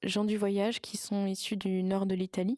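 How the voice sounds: A woman speaks in a dark, mellow tone, recorded with a dry, close sound and no echo.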